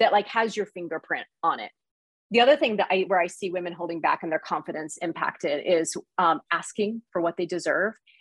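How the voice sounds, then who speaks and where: Speaking with an American accent at a fairly quick pace, a woman has an ordinary speaking voice, fairly low pitch and ordinary pitch variation, in a dry, close sound with no echo. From US Midwest, small town. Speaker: leadership coach and author. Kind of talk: interview conversation.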